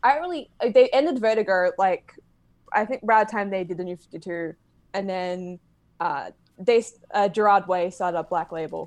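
Long, frequent pauses break up speech delivered at a moderate pace with ordinary pitch variation. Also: woman, medium pitch for a woman, big swings in loudness. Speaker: comic book fan guest reviewer. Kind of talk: casual chat.

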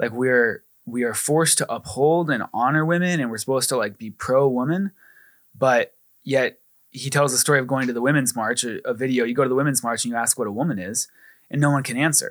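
Recorded very cleanly against a silent background, with a dry, close sound and no echo, a man speaks in an unremarkable speaking voice at medium pitch with ordinary variation. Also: fairly quick pace. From Arizona, US. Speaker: ministry staff member. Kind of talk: casual chat.

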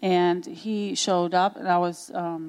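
A woman speaks with a Romanian accent. Her pitch is medium. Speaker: pastor's wife. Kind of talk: testimony. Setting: church stage with audience.

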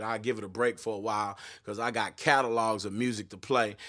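In a very clean recording with a silent background, a man speaks at a fairly quick pace in an animated tone. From Texas, Austin area. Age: 30s. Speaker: pastor and gospel musician. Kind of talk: casual livestream podcast with sermon-style rant.

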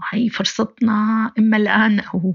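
A woman's voice, somewhat breathy, is heard. She talks very slowly. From Syria, Aleppo. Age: 30s. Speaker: human rights activist. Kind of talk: personal testimony interview.

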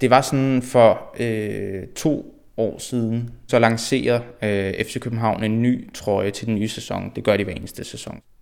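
At a very slow pace and with hardly any pauses, a man speaks at a medium pitch with fairly even intonation. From Denmark, Frederiksberg (Copenhagen). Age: 20s. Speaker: football fan. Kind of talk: interview. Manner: halting, many repetitions and fillers.

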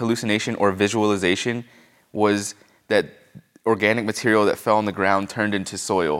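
An unremarkable speaking voice talks at a fairly quick pace with an American accent. The intonation stays fairly even. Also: man. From Pennsylvania. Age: 20s. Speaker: mycologist and mushroom farmer. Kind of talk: casual interview. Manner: casual, filler-heavy.

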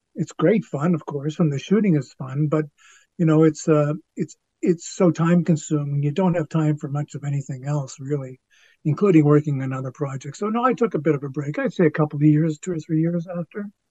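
A man's fairly high-pitched voice at a fairly quick pace, with ordinary pitch variation and a normal speaking voice. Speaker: actor and writer. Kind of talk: casual chat. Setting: video call.

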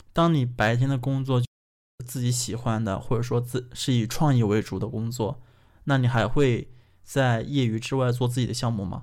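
A normal speaking voice from a man, medium pitch, fairly even intonation, moderate pace. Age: 20s. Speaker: podcast host. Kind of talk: casual chat.

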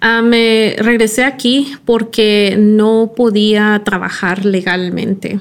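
With an English accent, a woman speaks at a very slow pace with hardly any pauses. Her intonation is fairly even. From California (Silicon Valley), from Mexico as a small child. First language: English (speaking Spanish). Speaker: product designer. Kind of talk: interview.

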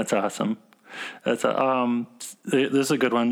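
A man with an American accent talks at a moderate pace and medium pitch, with ordinary pitch variation. He has an ordinary speaking voice. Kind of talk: casual interview chat. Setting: remote call interview.

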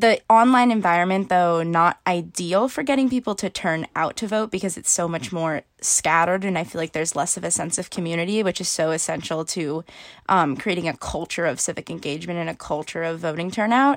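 Over a silent background in a very clean recording, a woman with a plain, everyday voice talks fairly quickly at a fairly low pitch, with ordinary pitch variation and hardly any pauses. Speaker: university student, voting activist. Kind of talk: interview.

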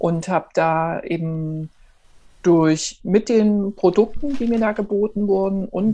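A dark, mellow female voice at mid pitch, with a normal amount of pitch movement. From eastern Germany, Erfurt. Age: 40s. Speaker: entrepreneur, network marketer. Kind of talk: interview. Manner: animated.

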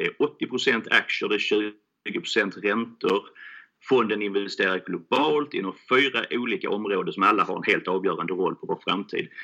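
With a Scanian accent, a man talks at a moderate pace over a quiet background. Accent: Skåne. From Skåne, southern Sweden (Helsingborg). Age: 40s. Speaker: fund founder. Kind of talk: interview. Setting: remote recording.

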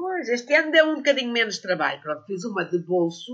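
A woman talks fairly quickly as her pitch swings very widely. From Portugal, Sintra area. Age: 60s. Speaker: herbalist and botanical author. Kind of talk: casual interview.

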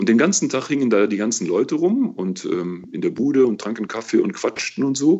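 In a relaxed tone, a man speaks at medium pitch and a moderate pace. His pitch swings very widely. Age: 60s. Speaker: auxiliary bishop. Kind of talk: interview.

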